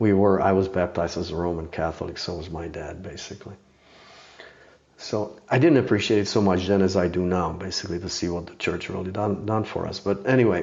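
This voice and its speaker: Speaking with a Czech accent at a fairly quick pace, a man with a very deep, low pitch keeps his intonation fairly even while his loudness swings widely. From Czechoslovakia. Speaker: master horse archer and bow maker. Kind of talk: podcast interview.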